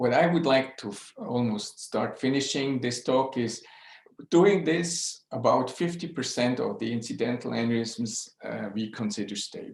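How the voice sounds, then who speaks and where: This man's voice sits at a medium pitch, with a Swiss accent. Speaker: neuroradiologist. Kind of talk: lecture. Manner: slow; halting.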